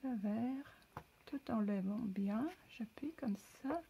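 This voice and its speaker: Pitched fairly high, a woman with a non-native accent speaks at a very slow pace. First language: not French (speaking French). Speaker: crafter. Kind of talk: tutorial. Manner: halting.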